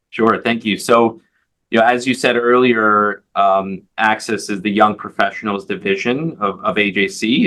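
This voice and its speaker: This is a man speaking. He has a New York accent. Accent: New York American English. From US Northeast, Long Island, New York. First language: Hebrew. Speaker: advocacy organization leader. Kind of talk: interview. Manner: halting, many fillers and repeated words.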